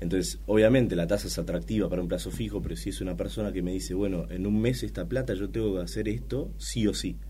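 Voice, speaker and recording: Words pour out at a very fast pace with hardly any pauses and lively intonation. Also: man, very deep, low pitch for a man. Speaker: head of trading. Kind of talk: casual interview.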